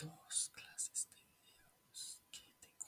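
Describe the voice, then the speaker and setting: Someone whispers at a very slow pace. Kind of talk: ASMR whispered chat. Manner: whispered.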